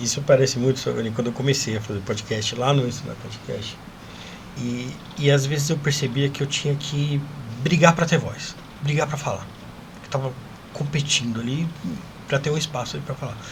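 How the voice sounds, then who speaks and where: A man's fairly high-pitched voice with fairly even intonation, a moderate pace and long, frequent pauses, over noticeable background noise and audible room echo. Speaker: podcast host. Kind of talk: casual chat. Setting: studio.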